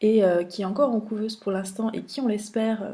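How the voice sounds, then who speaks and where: Her dark, mellow voice sits at a medium pitch and is somewhat breathy. The woman talks at a fairly quick pace with ordinary pitch variation. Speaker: funeral industry news editor. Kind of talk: trade show recap vlog. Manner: fast; hesitant, many filler sounds.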